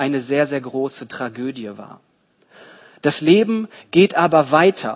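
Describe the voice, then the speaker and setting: Here a man uses a normal speaking voice at a fairly high pitch. He talks at a fairly slow pace. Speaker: preacher. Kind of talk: sermon in church, expository Bible teaching. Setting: church. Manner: didactic, earnest, steady explanatory pace; warm, storytelling, engaging the congregation.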